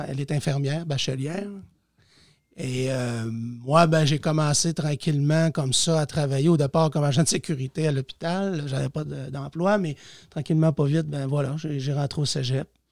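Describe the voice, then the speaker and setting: A man speaks at a moderate pace with fairly even intonation and fairly high pitch. He has an ordinary speaking voice. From Quebec, Lac-Saint-Jean region. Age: 40s. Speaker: teacher and municipal councillor. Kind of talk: casual interview.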